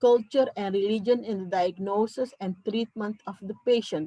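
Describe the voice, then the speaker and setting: Speaking at a very slow pace with a non-native accent, a woman has a dark, mellow tone in a dry, close sound with no echo. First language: not English. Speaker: psychiatrist. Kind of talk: conference talk.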